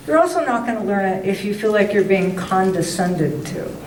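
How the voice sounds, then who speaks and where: A woman of medium pitch talks at a moderate pace. Audible room echo and noticeable background noise are present. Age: 70s. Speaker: writer and former teacher. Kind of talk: talk to a writers club meeting. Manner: animated.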